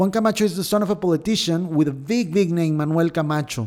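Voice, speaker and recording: Fairly quick speech comes from a man with a fairly high voice. His tone is dark and mellow, with ordinary pitch variation. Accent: Mexican. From Mexico. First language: Spanish. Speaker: podcast host. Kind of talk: news commentary. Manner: halting, with repetitions.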